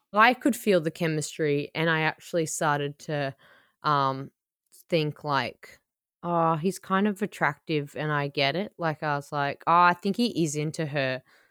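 In a very clean recording with a silent background and a dry, close sound with no echo, a woman with an Australian accent speaks at a moderate pace in a very deep, low pitch with ordinary pitch variation. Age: 30s. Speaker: podcast host and comedian. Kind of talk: casual chat.

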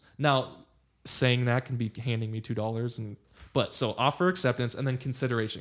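A man's medium-pitched voice with a Californian accent at a fairly quick pace, in a very clean recording with a silent background. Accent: Californian American. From Los Angeles, California. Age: 30s. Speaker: lawyer and former baseball player. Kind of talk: casual chat. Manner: animated.

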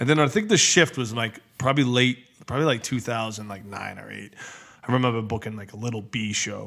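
An unremarkable speaking voice with an American accent moves at a fairly quick pace, its intonation fairly even and its loudness swinging widely. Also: man, medium pitch for a man. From New England (Massachusetts/New Hampshire). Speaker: hip hop concert promoter. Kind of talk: casual chat.

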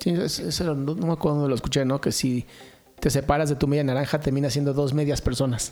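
At a very fast pace, a man with a fairly high pitch talks with fairly even intonation and very even loudness. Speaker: podcast co-host. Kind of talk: casual chat.

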